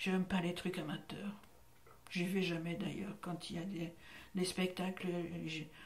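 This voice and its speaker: A woman's fairly low, somewhat breathy voice, monotone with flat intonation, at a fairly slow pace with long, frequent pauses and audible room echo. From Belgium, Brussels. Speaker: actress and voice actor. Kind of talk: interview.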